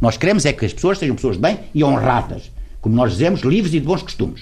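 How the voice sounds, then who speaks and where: A man talks at a fairly quick pace. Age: 70s. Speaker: lawyer, writer and former politician. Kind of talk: interview. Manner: halting.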